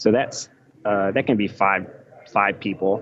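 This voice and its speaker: Fairly low-pitched man with an American accent, against noticeable background noise. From United States. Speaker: electrical engineer and author. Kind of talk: podcast interview.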